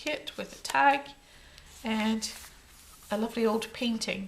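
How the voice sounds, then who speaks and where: The voice is a woman's with a Scottish accent. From Scotland. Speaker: crafter. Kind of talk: tutorial. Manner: casual.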